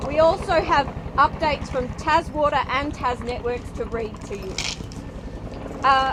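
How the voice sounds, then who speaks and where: A woman with an Australian accent speaks at a high pitch and moderate pace, with ordinary pitch variation. Noticeable background noise is present. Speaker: fire service public information officer. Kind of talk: community meeting chairing.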